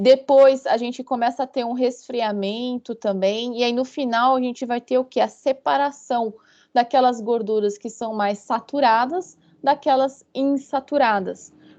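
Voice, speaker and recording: At a fairly slow pace, a woman with a high pitch and a dark, mellow tone keeps her intonation fairly even against a quiet background. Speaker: university lecturer. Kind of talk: online lecture.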